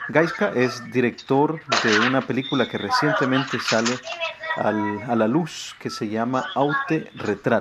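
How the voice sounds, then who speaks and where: Over noticeable background noise, a man speaks at a fairly slow pace in a Salvadoran accent. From El Salvador. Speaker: radio host and singer-songwriter. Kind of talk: radio interview.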